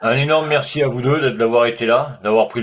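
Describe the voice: A man puts on a character voice, hoarse and at medium pitch. He talks very fast with fairly even intonation.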